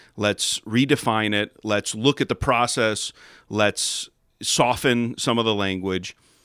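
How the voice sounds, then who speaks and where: A man with an American accent speaks at a fairly slow pace in a plain, everyday voice. The sound is dry and close with no echo, on a very clean recording with a silent background. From Chicago suburbs, US Midwest. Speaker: pastor. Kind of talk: casual chat.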